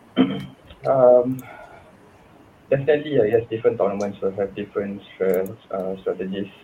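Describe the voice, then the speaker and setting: There is noticeable background noise. Over it, a man speaks at a fairly low pitch. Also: ordinary pitch variation, moderate pace. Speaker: esports coach. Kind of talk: interview.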